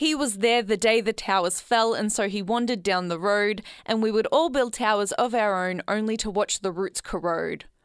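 In an Australian accent, the speaker goes at a moderate pace with hardly any pauses and ordinary pitch variation. The recording is very clean, with a silent background. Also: woman, fairly high pitch for a woman. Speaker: community radio host. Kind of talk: solo podcast monologue. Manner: laughs often, animated.

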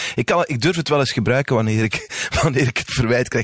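A man talks at a very fast pace with lively intonation, his dry, close sound carrying no echo over noticeable background noise. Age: 40s. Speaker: podcast host. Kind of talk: casual interview.

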